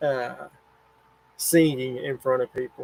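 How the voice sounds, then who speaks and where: Dry, close sound with no echo, a man speaking at a moderate pace. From US South. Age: 40s. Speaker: camping YouTuber. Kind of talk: livestream chat reading comments. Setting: home livestream in RV.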